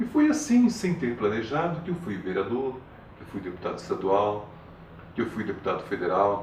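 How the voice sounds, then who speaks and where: This man keeps a moderate pace, with audible room echo and noticeable background noise around his voice. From Paraná, Brazil. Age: 70s. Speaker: retired politician and teacher. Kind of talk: interview. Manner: formal.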